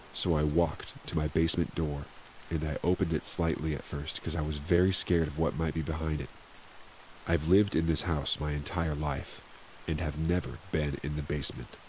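Speaking at a fairly quick pace, a man with a very deep, low pitch delivers his words in a monotone, flat intonation. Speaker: ASMR story narrator. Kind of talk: scripted narration of creepy stories, ghost story telling. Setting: ambient rain background, sleep aid. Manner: suspenseful, eerie.

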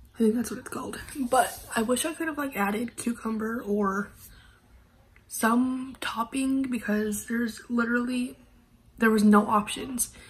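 With audible room echo, a woman speaks at a fairly slow pace and a fairly high pitch, using ordinary pitch variation.

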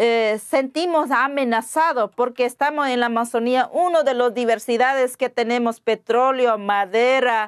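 A woman with a high pitch speaks with hardly any pauses and very even loudness against a quiet background. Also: ordinary pitch variation, fairly slow pace. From Ecuadorian Amazon, Pastaza. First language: Waorani (speaking Spanish). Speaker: interview guest. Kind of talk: interview. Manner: halting, with hesitations and repetitions. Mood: earnest, concerned.

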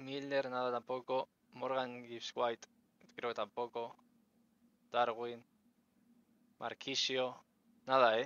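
A man's monotone, flat delivery at a very slow pace, with long, frequent pauses and a dry sound with no echo. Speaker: streamer. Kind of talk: casual chat. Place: home room.

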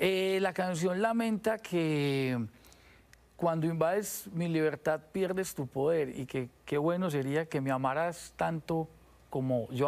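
A fairly high-pitched man at a fairly slow pace, with ordinary pitch variation. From Colombia, Medellín. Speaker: musician; guest. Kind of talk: TV interview. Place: studio. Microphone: lapel.

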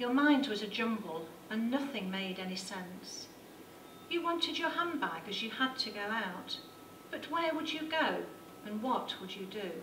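Through noticeable background noise, a woman talks at a moderate pace in a fairly high pitch with very wide pitch swings. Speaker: poet. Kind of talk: poetry slam performance. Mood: tender, sorrowful. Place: hall. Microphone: handheld.

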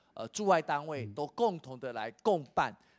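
The voice is a man's, fairly high in pitch, at a moderate pace. His pitch swings very widely over a quiet background. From Taiwan. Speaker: education official; guest. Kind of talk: interview. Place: hall. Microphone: handheld.

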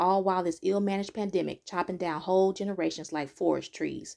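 On a very clean recording with a silent background, a woman with an unremarkable speaking voice talks at a fairly quick pace and medium pitch. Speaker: poet. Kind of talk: spoken word poetry performance.

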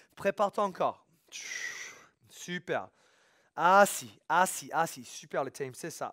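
A man's energetic, high-pitched voice at a fairly slow pace, against a quiet background. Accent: non-native. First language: English (speaking French). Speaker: fitness coach. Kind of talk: workout instruction. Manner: energetic, motivating. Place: gym.

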